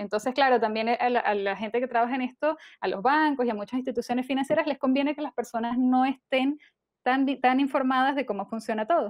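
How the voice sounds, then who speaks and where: Against a quiet background, a woman talks very fast in a high pitch with fairly even intonation, the sound dry with no echo. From Venezuela. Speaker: personal finance podcaster. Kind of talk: interview. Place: home room. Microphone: earbuds.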